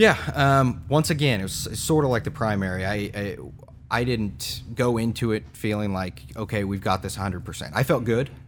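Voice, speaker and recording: Speaking with an American accent, a man has an unremarkable speaking voice, a fairly low pitch and a moderate pace. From Kansas, Newton. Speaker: state legislator. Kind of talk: interview.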